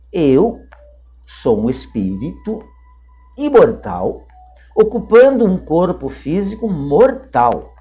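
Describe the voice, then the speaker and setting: Music plays in the background as a man talks at a very slow pace, with long, frequent pauses. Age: 60s. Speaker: spiritist lecturer. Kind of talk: religious talk to camera.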